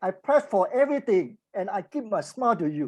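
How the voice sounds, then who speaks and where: A man speaks with a non-native accent at a fairly slow pace. His extremely high pitch moves in very wide swings. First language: not English. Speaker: club member giving impromptu speech. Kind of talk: impromptu speech. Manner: firm and steady.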